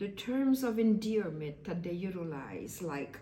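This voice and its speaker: A woman speaks at a medium pitch with lively intonation and a somewhat breathy, dark, mellow tone. The room echo is audible. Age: 60s. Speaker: vlogger. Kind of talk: casual monologue. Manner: halting.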